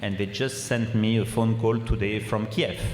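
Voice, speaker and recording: Noticeable background noise and audible room echo surround a man with a French accent who talks at a moderate pace in a medium pitch. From France. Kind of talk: Q&A answers at a public symposium. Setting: gym with audience and microphones.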